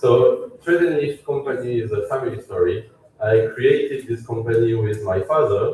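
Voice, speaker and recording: Noticeable noise in the background, delivery at a fairly unhurried pace. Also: man. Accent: French. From France. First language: French. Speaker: company CEO. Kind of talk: product launch presentation. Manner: halting.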